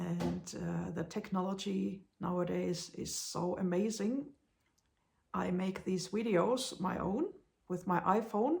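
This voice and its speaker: Speech comes at a very slow pace. The speaker has a Finnish accent. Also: woman. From Finland. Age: 40s. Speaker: blind vlogger. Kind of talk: casual vlog monologue. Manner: halting, many hesitations.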